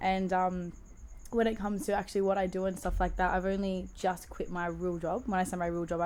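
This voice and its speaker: With an Australian accent, a woman of medium pitch speaks at a fairly quick pace. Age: 20s. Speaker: DJ. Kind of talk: casual chat. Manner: animated.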